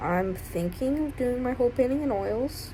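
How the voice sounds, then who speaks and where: Music runs in the background as a woman speaks. The room echo is audible. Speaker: art student and video creator. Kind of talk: vlog narration. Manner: casual, filler-heavy.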